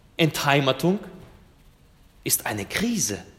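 A man talks at a very slow pace in a somewhat breathy voice, his pitch swinging very widely. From Germany, came from Russia as a child. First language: Russian (speaking German). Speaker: pastor. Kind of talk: sermon.

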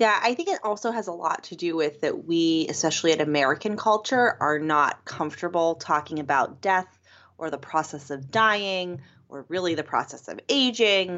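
Lively intonation runs through a normal speaking voice that moves at a moderate pace. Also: woman, fairly low pitch for a woman. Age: 30s. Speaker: podcast host. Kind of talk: casual chat. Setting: home living room recording.

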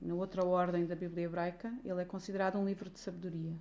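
Fairly quick, monotone speech from a woman at medium pitch, flat in intonation. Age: 40s. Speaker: church ministry worker leading women's Bible study. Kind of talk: Bible study teaching.

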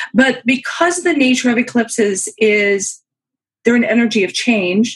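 A woman speaks at a moderate pace in a fairly high, somewhat breathy voice. Her intonation is lively. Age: 50s. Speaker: professional astrologer. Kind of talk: casual chat.

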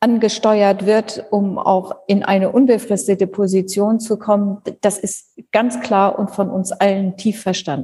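A woman at a very slow pace, medium in pitch. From northern Germany (Schleswig-Holstein). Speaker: university president. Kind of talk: interview.

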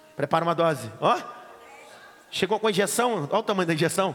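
The speech runs at a very fast pace with ordinary pitch variation. Noticeable background noise sits behind it. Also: man. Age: 30s. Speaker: pastor and Bible teacher. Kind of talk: lecture. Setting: classroom with students.

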